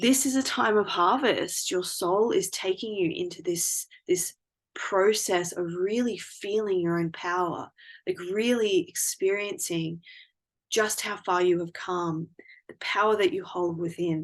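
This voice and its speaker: Against a quiet background, a woman talks fairly slowly at a medium pitch. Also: ordinary pitch variation. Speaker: tarot card reader. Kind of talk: intuitive card reading.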